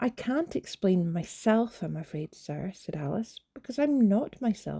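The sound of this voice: An unforced reading voice delivers the text with lively intonation.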